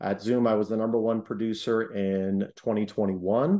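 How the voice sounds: Speaking with an American accent at a moderate pace, a man uses a fairly low pitch, a dark, mellow tone and ordinary pitch variation.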